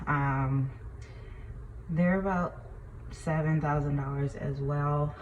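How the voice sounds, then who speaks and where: A woman speaks slowly-ish at a very deep, low pitch with ordinary pitch variation. Her voice is somewhat breathy. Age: 20s. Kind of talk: casual talk to camera. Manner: hesitant, conversational.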